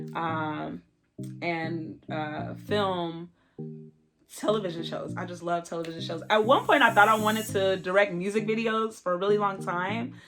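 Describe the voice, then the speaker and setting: An animated woman with an American accent, big swings in loudness, and music in the background. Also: moderate pace. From Southern California. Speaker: YouTuber. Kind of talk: casual Q&A vlog.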